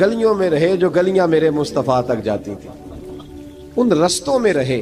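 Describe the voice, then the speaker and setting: The intonation rises and falls in a lively way. Background music can be heard. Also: man. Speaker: Islamic scholar giving a religious sermon. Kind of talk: religious sermon (bayan).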